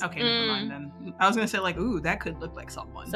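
A woman at a very fast pace, with big swings in loudness, over music in the background. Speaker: tabletop role-playing game player. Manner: dry, sarcastic-sounding delivery.

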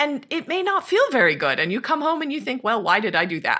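Recorded very cleanly against a silent background, a woman with an American accent talks at a moderate pace in a bright, sharp tone. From Montana, US. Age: 40s. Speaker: psychology professor and author. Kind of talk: interview.

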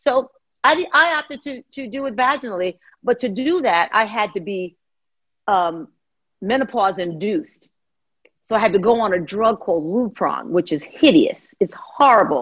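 The voice moves through very wide pitch swings at a moderate pace. The background is quiet. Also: woman, fairly high pitch for a woman. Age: 60s. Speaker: personal trainer. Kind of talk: casual chat. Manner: animated.

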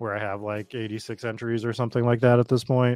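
Very cleanly recorded against a silent background, a man with an American accent speaks in a medium pitch. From Boston, Massachusetts; Massachusetts. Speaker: fantasy football streamer host. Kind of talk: casual livestream chat. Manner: casual, conversational.

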